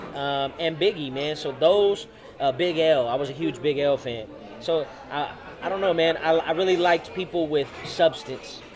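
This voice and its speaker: Crowd noise fills the background as a man talks at a moderate pace. His pitch is fairly high, with ordinary variation. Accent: American. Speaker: rapper. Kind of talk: interview. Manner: confident.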